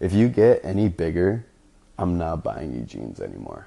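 A man speaks at a moderate pace in a very deep, low pitch, with vocal fry, a dark, mellow tone and lively intonation. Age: 20s. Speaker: podcast host. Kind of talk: casual monologue. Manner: casual.

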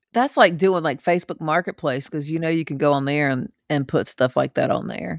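A woman with a very deep, low pitch speaks at a fairly quick pace with vocal fry, ordinary pitch variation and hardly any pauses, in a dry, close recording with no echo. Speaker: podcast co-host. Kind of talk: casual chat.

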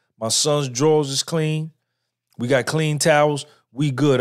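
A man with a normal speaking voice and a fairly high pitch talks at a fairly slow pace with fairly even intonation, in a very clean recording with a silent background. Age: 50s. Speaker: podcaster. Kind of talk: live-stream monologue. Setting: live stream.

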